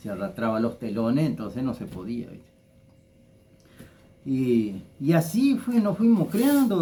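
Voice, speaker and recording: A man with a dark, mellow tone and a fairly high pitch speaks at a fairly slow pace, somewhat breathy, with very wide pitch swings. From Argentina, Entre Ríos (Federación). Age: 60s. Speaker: local personality, former builder. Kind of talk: interview, life story recollection. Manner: halting, many repetitions.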